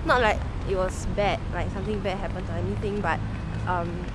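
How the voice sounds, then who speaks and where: Amid loud background noise, a woman speaks at a moderate pace in a dry sound with no echo. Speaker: vlogger. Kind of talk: casual vlog chat. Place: street. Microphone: phone near.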